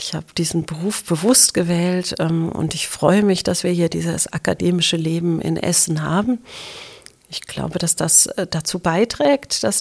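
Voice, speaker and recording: A woman with a plain, everyday voice talks fairly slowly at a fairly low pitch, keeping her intonation fairly even. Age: 50s. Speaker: university president. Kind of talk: interview.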